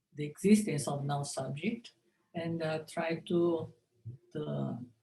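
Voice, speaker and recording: At a very slow pace, a woman with a Japanese accent speaks in a dark, mellow, somewhat breathy tone. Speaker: linguistics professor. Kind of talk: conference lecture. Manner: halting.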